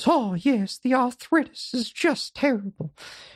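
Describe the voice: A put-on character voice, female-sounding, squeaky and high in pitch. It moves at a moderate pace against a quiet background.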